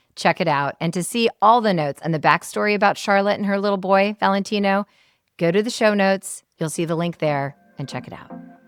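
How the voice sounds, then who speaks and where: With an American accent, this speaker has an unremarkable speaking voice and ordinary pitch variation at a fairly quick pace. The sound is dry and close with no echo. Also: woman, medium pitch for a woman, very clean recording, silent background. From Seattle. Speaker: podcast host. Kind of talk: interview closing and outro.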